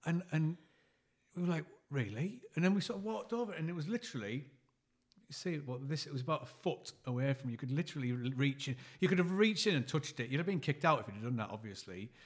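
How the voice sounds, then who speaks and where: With a northern English accent, a man speaks very fast at a fairly high pitch, somewhat breathy, with very wide pitch swings. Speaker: podcast co-host. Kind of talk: casual chat.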